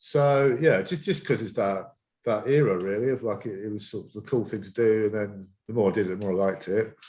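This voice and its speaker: A man with a British accent and a dark, mellow tone, fairly low in pitch, with ordinary pitch variation, at a fairly quick pace against a quiet background. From Essex, England. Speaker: skateboard coach. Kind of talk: podcast interview. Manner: halting.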